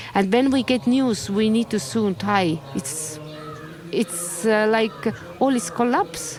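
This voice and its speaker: Amid noticeable background noise, a woman with a medium pitch speaks at a very slow pace, her loudness very even and her intonation lively. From Estonia. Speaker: Buddhist nun. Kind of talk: interview. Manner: halting.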